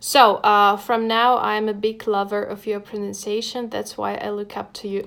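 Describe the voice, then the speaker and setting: A woman is speaking. She has a Russian accent. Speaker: English teacher. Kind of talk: live stream lesson. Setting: home desk with laptop.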